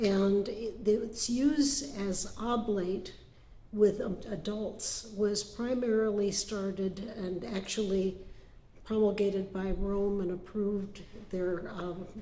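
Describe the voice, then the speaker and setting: Amid noticeable background noise and audible room echo, a woman speaks at a very slow pace. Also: medium pitch for a woman, fairly even intonation. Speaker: Benedictine nun. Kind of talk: presentation to a group. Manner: halting, with filler words.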